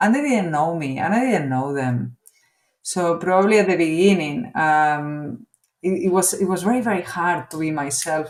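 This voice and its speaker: This woman has a Spanish accent, a fairly low pitch, a moderate pace and lively intonation. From Spain. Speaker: business executive. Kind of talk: interview. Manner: halting, with fillers.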